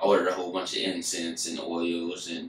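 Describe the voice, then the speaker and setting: At a moderate pace, a man speaks with audible echo in the room. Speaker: vlogger. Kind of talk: casual vlog chat. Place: home room. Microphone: camera far.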